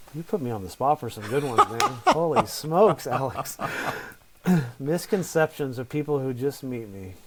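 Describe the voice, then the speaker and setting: A soft-spoken man, very slow, with very wide pitch swings. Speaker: real estate investor. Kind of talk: interview. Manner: halting.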